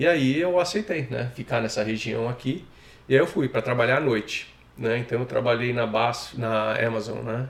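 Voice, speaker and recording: With noticeable background noise behind him, a man talks at a moderate pace and medium pitch with ordinary pitch variation. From Brazil, São Paulo. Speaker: immigrant interviewee. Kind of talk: casual interview.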